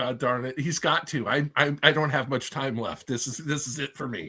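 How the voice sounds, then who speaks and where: A man's bright, sharp voice, fairly high in pitch, at a moderate pace with hardly any pauses. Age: 60s. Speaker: reptile breeder on podcast panel. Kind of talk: casual chat.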